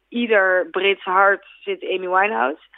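A woman has an unremarkable speaking voice at a medium pitch. She keeps her intonation fairly even. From Netherlands. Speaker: singer. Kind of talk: interview. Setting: phone call.

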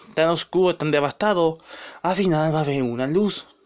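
A man talks in a high pitch with an animated tone, ordinary pitch variation and a moderate pace. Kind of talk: angry rant. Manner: indignant.

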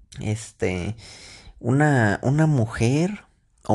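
A man of medium pitch with a Mexican accent sounds animated, his intonation lively against a quiet background. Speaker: podcaster. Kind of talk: casual monologue. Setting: in bed at night.

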